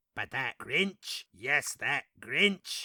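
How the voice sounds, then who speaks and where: A man's put-on character voice, raised and projected at a very slow pace, on a very clean recording with a silent background. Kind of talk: parody storybook narration.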